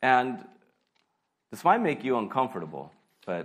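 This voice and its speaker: Delivered at a moderate pace, the speech has audible room echo. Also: man. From US, California. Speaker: pastor. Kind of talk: sermon. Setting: church.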